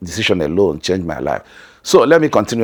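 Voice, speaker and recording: The speaker has a Nigerian accent and lively intonation. The recording is very clean, with a silent background. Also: man. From northern Nigeria. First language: Hausa. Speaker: family vlogger. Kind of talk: vlog narration.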